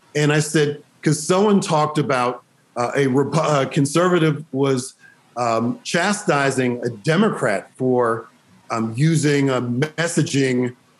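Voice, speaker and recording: Very slowly, a man speaks with ordinary pitch variation. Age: 50s. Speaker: state legislator. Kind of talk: panel discussion.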